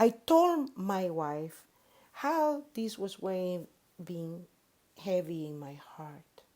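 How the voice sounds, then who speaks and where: Speaking very slowly with a Spanish accent, a woman uses a dark, mellow tone at medium pitch, with very wide pitch swings and big swings in loudness. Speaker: pastor. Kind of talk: sermon. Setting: worship service.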